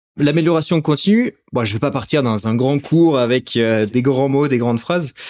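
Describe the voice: A man talks at a moderate pace. The sound is dry and close, with no echo. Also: medium pitch for a man, ordinary pitch variation, slightly mellow tone.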